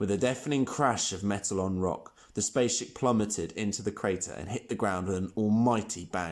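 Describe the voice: The speaker does plain reading aloud with ordinary pitch variation.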